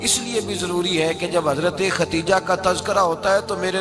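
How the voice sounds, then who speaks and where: Music plays in the background as a man speaks in a high pitch. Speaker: Islamic preacher. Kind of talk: religious sermon. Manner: emphatic, oratorical.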